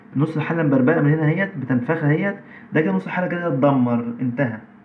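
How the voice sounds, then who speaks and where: A man speaks at a fairly quick pace, with light background noise behind him. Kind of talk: tutorial. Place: workshop. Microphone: phone near.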